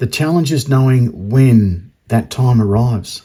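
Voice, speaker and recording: A man speaks in a somewhat breathy voice with a dark, mellow tone and ordinary pitch variation. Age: 60s. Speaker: coin collecting youtuber. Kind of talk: casual vlog monologue. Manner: halting, with many repetitions and fillers.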